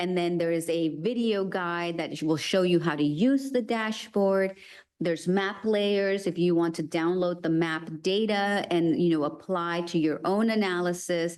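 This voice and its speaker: In an ordinary speaking voice, a woman talks at a fairly slow pace with fairly low pitch, ordinary pitch variation, very even loudness and hardly any pauses. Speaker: city planning presenter. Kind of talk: presentation to committee; answering questions. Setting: meeting boardroom.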